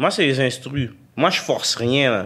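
A man speaks with a Quebec accent at a fairly slow pace. Noticeable background noise can be heard. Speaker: rapper. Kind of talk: casual chat.

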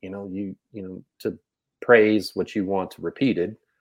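A man with an American accent talks at a moderate pace. He has an unremarkable speaking voice and a fairly low pitch. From Texas. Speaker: basketball coach and podcast co-host. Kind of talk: casual chat.

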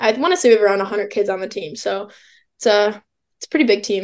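A woman with an American accent, very fast and with lively intonation. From Illinois. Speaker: college track and field athlete. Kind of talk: interview.

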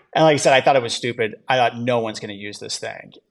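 Intonation stays fairly even as a man uses a normal speaking voice pitched in the medium range. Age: 30s. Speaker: entrepreneur. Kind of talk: interview.

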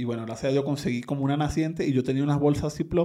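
A man with a Venezuelan accent, a medium pitch, a dark, mellow tone and ordinary pitch variation. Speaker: migrant. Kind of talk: interview about migration experience. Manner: halting, with many repetitions.

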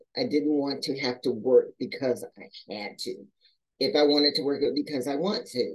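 At a moderate pace, a woman with a very deep, low pitch speaks with lively intonation. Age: 60s. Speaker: retired police employee and actress. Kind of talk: interview.

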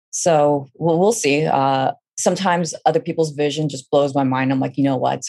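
A woman with a Californian accent speaks at a very fast pace, her very deep, low pitch carrying vocal fry. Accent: Californian American English. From Northern California, Fremont. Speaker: graphic novel writer. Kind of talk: interview.

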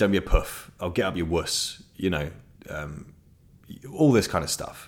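A man talks in a southern English accent. His pace is fairly slow. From southeast England (Ashford, Kent). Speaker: podcast host. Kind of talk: casual monologue. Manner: animated.

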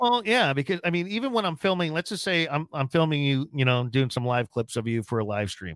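At a fairly quick pace with hardly any pauses, a man speaks in a fairly high pitch with very wide pitch swings, in a dry, close sound with no echo. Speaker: podcast host. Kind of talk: casual interview. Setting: studio.

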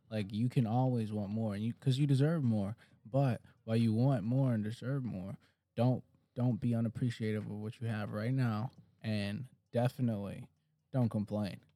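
A man talks with an American accent in a dark, mellow tone. His intonation stays fairly even. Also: medium pitch for a man, moderate pace. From Detroit, Michigan. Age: 20s. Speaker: fitness trainer and podcast co-host. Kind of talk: casual chat.

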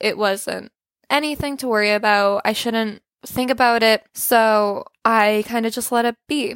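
This woman has a normal speaking voice, fairly high in pitch, with fairly even intonation. She talks at a fairly slow pace in a dry, close sound with no echo. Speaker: thyroid cancer survivor and artist. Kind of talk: personal testimony.

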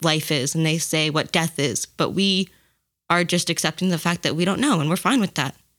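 On a very clean recording with a silent background, a woman with a fairly low pitch uses a plain, everyday voice with ordinary pitch variation. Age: 20s. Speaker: podcast guest. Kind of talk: casual chat.

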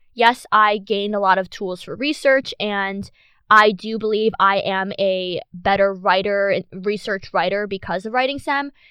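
A woman's medium-pitched voice, a normal speaking voice, with ordinary pitch variation and a fairly slow pace. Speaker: student podcast host. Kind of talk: casual interview chat.

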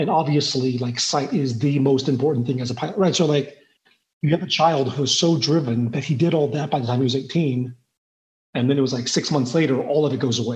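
A somewhat breathy man talks at a fairly quick pace with fairly even intonation. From southwest Missouri, born in Taiwan. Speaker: insurance professional, father. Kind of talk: interview conversation.

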